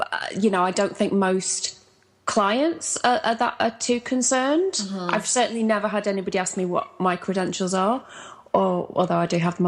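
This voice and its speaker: A woman with a British accent talks at a fairly quick pace and medium pitch, with ordinary pitch variation and noticeable background noise. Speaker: life coach. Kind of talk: podcast interview answer.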